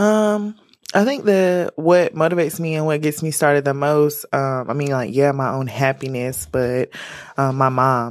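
The woman's voice sits very deep and low, with ordinary pitch variation. She keeps a moderate pace. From North Carolina, Winston-Salem. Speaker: lifestyle brand founder. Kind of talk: interview.

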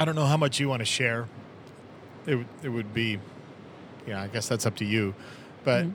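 A man speaks at a fairly quick pace in a medium pitch with ordinary pitch variation. He leaves long, frequent pauses. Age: 50s. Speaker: podcast host. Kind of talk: casual chat. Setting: in a car.

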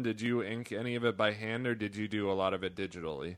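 Here a man speaks in a normal speaking voice. His pitch is medium, with ordinary pitch variation. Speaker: podcast co-host. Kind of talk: interview.

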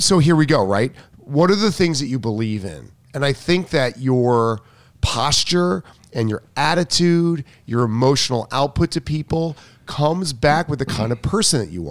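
Speaking at a moderate pace, a man has an ordinary speaking voice, a fairly high pitch and lively intonation. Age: 50s. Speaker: tennis coach. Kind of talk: casual chat.

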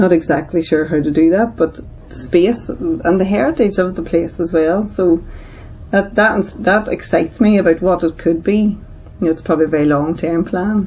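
A woman with a Northern Irish accent speaks at a moderate pace in a medium pitch, with ordinary pitch variation and very even loudness. Noticeable background noise is present. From Northern Ireland. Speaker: community centre director. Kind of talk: interview testimony.

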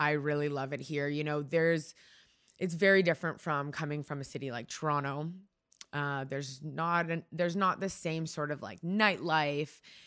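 A woman with a Canadian accent speaks at a moderate pace in a very deep, low pitch. The recording is very clean, with a silent background. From Markham, Ontario, Canada. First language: Hungarian. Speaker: publicist and wellness brand founder. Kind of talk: casual interview conversation. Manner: animated, expressive.

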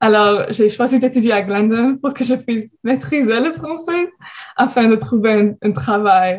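A woman speaks fairly slowly in an English Canadian accent. Her fairly high voice carries lively intonation. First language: English (speaking French). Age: 20s. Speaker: university student. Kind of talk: radio interview.

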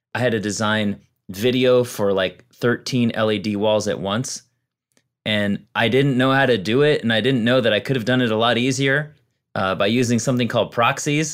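A man with a plain, everyday voice speaks at a medium pitch and a moderate pace, using ordinary pitch variation. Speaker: comedian. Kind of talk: casual chat.

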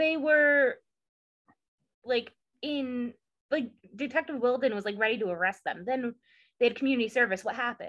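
With an American accent, a woman speaks at a high pitch and a moderate pace, her pitch varying in an ordinary way. She leaves long, frequent pauses against a quiet background. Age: 20s. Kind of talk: casual chat recap.

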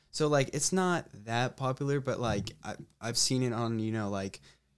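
With a normal speaking voice, a man shows ordinary pitch variation. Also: very clean recording, silent background. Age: young. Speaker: college lacrosse player. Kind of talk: casual interview.

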